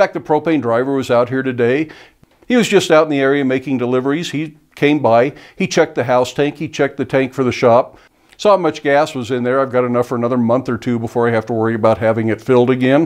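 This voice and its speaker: With a quiet background behind him, a man rushes along at a very fast pace, his pitch varying in an ordinary way. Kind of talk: tutorial. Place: workshop.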